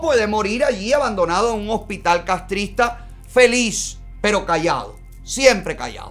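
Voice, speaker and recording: At a fairly slow pace a man talks while faint music sounds behind him. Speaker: live show host commentator. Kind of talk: political commentary. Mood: indignant, sarcastic. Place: studio.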